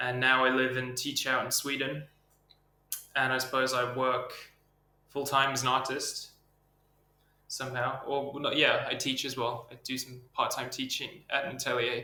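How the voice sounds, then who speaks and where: Amid noticeable background noise and audible room echo, a man with an American accent talks at a moderate pace in a monotone, flat intonation, with long, frequent pauses. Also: medium pitch for a man. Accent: English with slight American twang. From England. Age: 20s. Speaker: artist. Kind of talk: interview. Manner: hesitant, filler-heavy.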